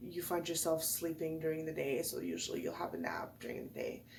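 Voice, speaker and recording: Through noticeable background noise and audible room echo, a woman's voice comes across. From French-speaking background. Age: 30s. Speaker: video blogger. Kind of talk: casual talk to camera about depression. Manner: hesitant, many fillers.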